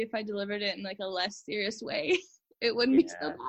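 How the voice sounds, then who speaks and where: Her pace is very fast as this woman talks with a Canadian accent. She sits at medium pitch with ordinary pitch variation. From Canada, Manitoba (Winnipeg). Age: 20s. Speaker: translator, cancer survivor. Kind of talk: interview, personal testimony.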